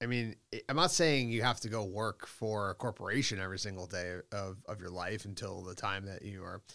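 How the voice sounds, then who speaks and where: The recording is very clean, with a silent background. A man with a fairly low, bright, sharp voice speaks at a fairly quick pace with ordinary pitch variation. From Boston, US. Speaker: company executive. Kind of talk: interview conversation.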